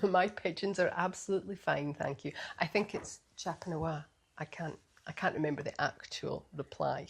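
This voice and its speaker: Somewhat breathy, a woman talks at a moderate pace in a fairly low pitch, keeping her intonation fairly even. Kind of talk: casual podcast conversation.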